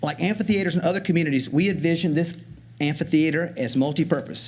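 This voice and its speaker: At a fairly quick pace, a man with a high voice speaks with ordinary pitch variation. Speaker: community project presenter. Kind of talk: public presentation at county meeting. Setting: county commission meeting room. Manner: fast.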